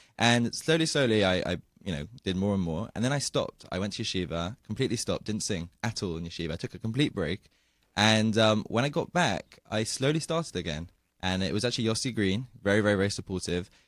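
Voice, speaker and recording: Over a very clean recording with a silent background, a man with a British accent talks at a very fast pace, his fairly low voice full of lively intonation. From England, London. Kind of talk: radio interview. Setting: radio studio.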